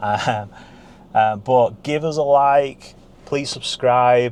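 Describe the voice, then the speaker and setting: A man with a Barnsley accent speaks at a very slow pace. His voice is fairly high with ordinary pitch variation. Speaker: car dealer. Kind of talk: casual vlog chat. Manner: unscripted, off the cuff.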